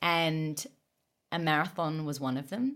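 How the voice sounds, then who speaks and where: A woman talks with an Australian accent. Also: very clean recording, silent background. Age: 30s. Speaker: running coach and podcast host. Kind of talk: casual chat.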